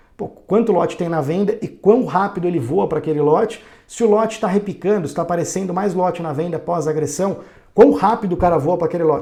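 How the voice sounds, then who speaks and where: This man has a high pitch and ordinary pitch variation, and he speaks at a fairly quick pace. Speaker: day trading educator. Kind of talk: tutorial. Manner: fast; hesitant fillers.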